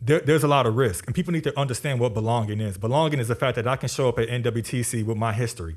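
A man's somewhat breathy voice at a very fast pace, with ordinary pitch variation, on a very clean recording with a silent background. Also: medium pitch for a man, hardly any pauses. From Chicago, South Side. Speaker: college diversity officer. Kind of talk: interview conversation.

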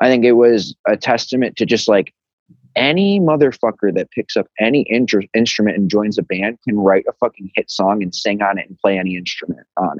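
With an American accent, a man of fairly low pitch speaks at a moderate pace with ordinary pitch variation and big swings in loudness, the sound dry and close with no echo. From Chicago, US Midwest. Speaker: rock band frontman. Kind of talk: casual chat.

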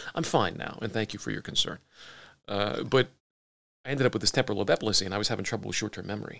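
A man with an American accent speaks at a very fast pace in a fairly low pitch, using ordinary pitch variation, vocal fry, and long, frequent pauses. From Pittsburgh area, US. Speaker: business owner and former actor. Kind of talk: casual interview chat.

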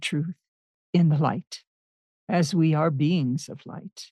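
Recorded dry and close with no echo, a woman speaks fairly slowly in a very deep, low pitch with a dark, mellow tone, somewhat breathy and with ordinary pitch variation. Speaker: podcast host. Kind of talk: scripted intro and outro.

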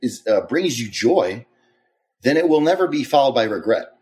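A fairly high male voice in an American accent, full of very wide pitch swings and vocal fry. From Maryland, US. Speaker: professional bodybuilder and coach. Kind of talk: casual chat. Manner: calm, not yelling.

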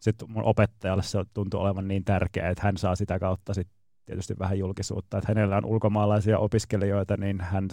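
In a very clean recording with a silent background and a dry, close sound with no echo, a man with a fairly low pitch talks at a fairly quick pace in a dark, mellow tone with fairly even intonation. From Finland. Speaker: Peking opera performer and director. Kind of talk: casual radio interview.

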